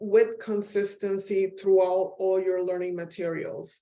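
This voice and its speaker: Speaking in a Spanish accent, a woman with a dark, mellow tone and medium pitch keeps a monotone, flat intonation. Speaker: professor. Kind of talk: webinar presentation. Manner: frequent filler ums.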